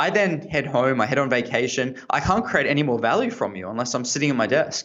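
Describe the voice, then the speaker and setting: With an Australian accent, a man rattles along at a very fast pace with lively intonation. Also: medium pitch for a man. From Australia, Sydney. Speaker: tech entrepreneur, former lawyer. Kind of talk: interview. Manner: hesitant, many fillers.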